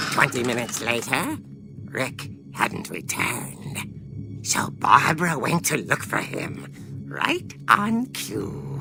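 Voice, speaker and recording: Using a put-on character voice, a man speaks at a fairly slow pace over clear music in the background. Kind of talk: horror narration. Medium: short film. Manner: theatrical, relishing.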